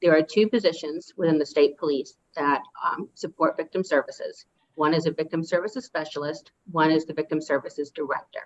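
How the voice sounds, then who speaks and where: Her voice as a woman has a very deep, low pitch. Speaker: victim services official testifying. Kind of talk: legislative committee testimony. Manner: fast.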